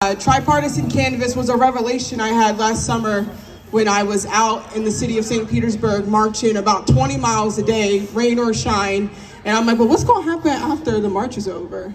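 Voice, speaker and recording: A woman's animated tone and lively intonation at a fairly quick pace, with audible room echo and noticeable background noise. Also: fairly high pitch for a woman. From South Jersey, Cape May. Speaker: community organizer. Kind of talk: interview monologue. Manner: casual, animated.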